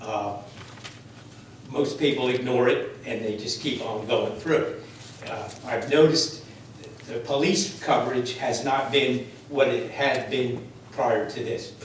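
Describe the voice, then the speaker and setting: A man with an American accent talks at a fairly slow pace and medium pitch, with ordinary pitch variation, long, frequent pauses, noticeable background noise and audible room echo. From New Jersey. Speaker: resident speaking at public comment. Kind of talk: public comment at council meeting. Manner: loud.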